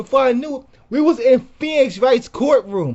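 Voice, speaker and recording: A man's extremely high-pitched voice, animated in tone, at a moderate pace. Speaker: YouTuber. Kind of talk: casual storytelling monologue. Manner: halting, repeating words.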